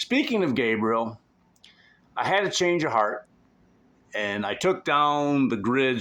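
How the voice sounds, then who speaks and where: Loud and bright with a sharp tone, a man speaks at a fairly slow pace. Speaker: vlogger. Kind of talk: casual vlog monologue. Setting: at home on couch. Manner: bombastic, intense.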